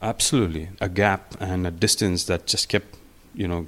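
A man's very deep, low voice keeps a fairly even intonation. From India. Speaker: electronic music artist and DJ. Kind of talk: casual interview.

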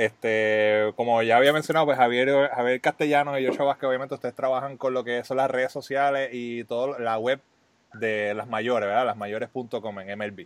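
Keeping a moderate pace, a man with a normal speaking voice talks at a medium pitch in fairly even intonation. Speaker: podcast host. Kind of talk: scripted intro; casual interview chat.

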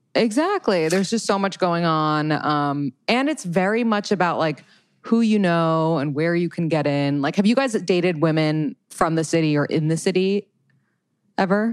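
On a very clean recording with a silent background, a woman with a plain, everyday voice speaks at fairly low pitch and a moderate pace with ordinary pitch variation. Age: 30s. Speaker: dating podcaster and coach. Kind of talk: casual chat.

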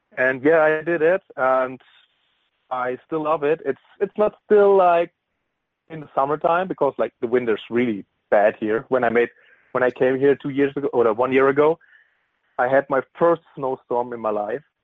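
A man's fairly high-pitched voice with a German accent, ordinary pitch variation and a moderate pace broken by long, frequent pauses. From Bavaria, Germany (near Bamberg). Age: 20s. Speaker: football player. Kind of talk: interview. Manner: halting, with frequent fillers.

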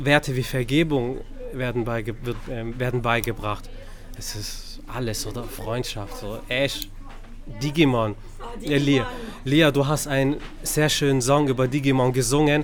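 Against noticeable background noise and audible room echo, a man at a medium pitch talks at a fairly slow pace with long, frequent pauses, fairly even intonation and big swings in loudness. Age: 30s. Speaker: podcast host. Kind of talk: casual chat. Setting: bookstore.

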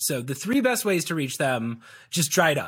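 A man with an American accent speaks at a moderate pace in a fairly high pitch, on a very clean recording with a silent background. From US Midwest, Chicago. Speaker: video coach and former comedian in sales. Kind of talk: casual interview.

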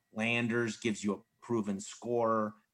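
A man's fairly low, monotone, flat voice with an American accent at a fairly slow pace, on a very clean recording with a silent background. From US Mid-Atlantic, Maryland suburbs of DC. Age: 30s. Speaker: sports journalist. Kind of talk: casual chat.

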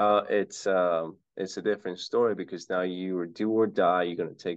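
A man with a normal speaking voice at a moderate pace, with ordinary pitch variation. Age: 20s. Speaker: real estate investor. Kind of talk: casual interview.

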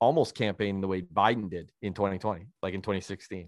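With a Canadian accent, a man speaks at a fairly low pitch and a fairly quick pace, in an ordinary speaking voice. The sound is dry and close with no echo, over a quiet background. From Canada. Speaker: author and former journalist. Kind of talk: casual chat. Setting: remote call.

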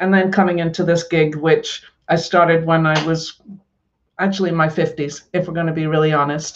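A woman with a Scottish accent speaks at a fairly low pitch in a monotone, flat intonation. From Scotland. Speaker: author and coach. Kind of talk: interview. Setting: live stream.

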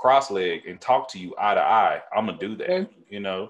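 A man with an American accent speaks at a moderate pace against a quiet background. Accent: thick country. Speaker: podcast host. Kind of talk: casual, profane. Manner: energetic, emphatic talker.

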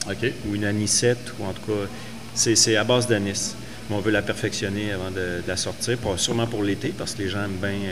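A man speaks at a fairly low pitch with monotone, flat intonation. Music plays in the background, and there is audible room echo. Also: fairly quick pace. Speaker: brewer and distiller. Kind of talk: casual chat.

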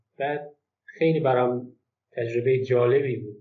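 There is audible room echo around a man's voice. His pitch varies in an ordinary way. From Golestan province, Iran (Turkmen Sahra area). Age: 30s. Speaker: book translator. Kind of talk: casual interview.

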